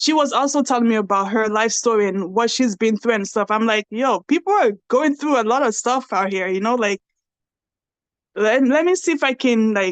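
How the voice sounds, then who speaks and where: A woman speaks with a Nigerian accent at a moderate pace, her pitch fairly high with ordinary variation. Her loudness stays very even, and the sound is dry and close with no echo over a quiet background. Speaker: podcast host and reality TV cast member. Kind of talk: casual interview chat.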